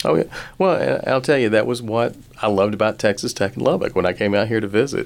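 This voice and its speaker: A man with a Southern US accent talks at a very fast pace, his medium pitch showing ordinary variation. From rural Alabama. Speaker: business school dean and finance professor. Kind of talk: radio interview.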